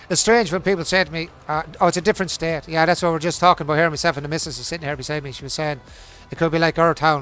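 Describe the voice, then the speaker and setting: Music plays in the background as a man talks at a very fast pace. His pitch is fairly high and his intonation fairly even. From Ireland. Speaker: gaming streamer. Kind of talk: casual live-stream chat.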